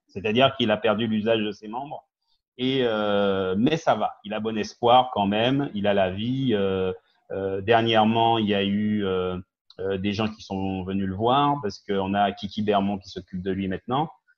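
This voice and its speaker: A man talks at a fairly slow pace. His fairly low voice follows fairly even intonation. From Guadeloupe, raised in mainland France from age ten. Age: 50s. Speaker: business owner and community activist. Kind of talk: TV talk show interview. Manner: hesitant, many fillers.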